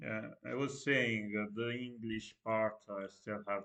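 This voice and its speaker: A man with a non-native accent, fairly low in pitch and fairly slow in pace, against a quiet background. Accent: non-native English pronunciation. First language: Italian. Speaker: streamer. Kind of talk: casual live-stream monologue. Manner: halting, stutters a lot; hesitant with many fillers. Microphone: no microphone, built-in computer audio.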